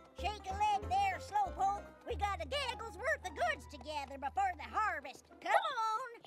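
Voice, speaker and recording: Set against clear background music, a cartoonish character voice with extremely high pitch moves at a moderate pace. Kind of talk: cartoon old-lady voice. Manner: folksy, rambling.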